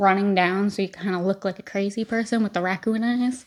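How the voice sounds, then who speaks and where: The background is silent and the recording very clean. Here a woman talks at a medium pitch, varying it in an ordinary way. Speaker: beauty vlogger. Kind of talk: casual chat while doing makeup tutorial. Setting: at home.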